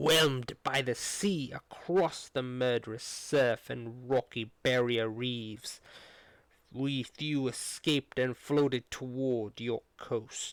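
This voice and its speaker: In a put-on character voice, a man of medium pitch speaks very slowly with fairly even intonation, the sound dry and close with no echo and the background silent on a very clean recording. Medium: read story. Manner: calm, composed, formal.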